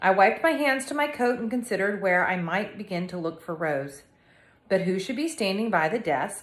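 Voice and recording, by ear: With lively intonation, a natural voice reads aloud.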